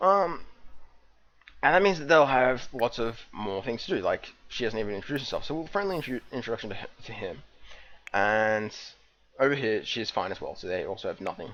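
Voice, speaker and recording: A man talks at a fairly quick pace and medium pitch, with very wide pitch swings. He leaves long, frequent pauses. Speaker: gaming video host. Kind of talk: let's play commentary. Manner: fast; casual, with frequent fillers and restarts.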